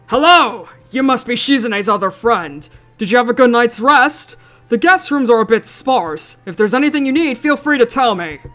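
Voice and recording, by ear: Putting on a gruff character voice, a woman projects it loudly at a high pitch and a moderate pace while faint music plays in the background.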